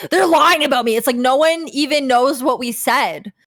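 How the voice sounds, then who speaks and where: A woman is speaking at a moderate pace. She has a Canadian accent. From Canada. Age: 30s. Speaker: former vtuber. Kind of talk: casual chat. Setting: livestream.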